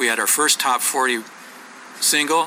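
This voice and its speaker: Music plays behind a man with an American accent whose intonation is fairly even. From US Pacific Northwest (Oregon, Washington). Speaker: songwriter and author. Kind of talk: interview. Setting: sit-down interview.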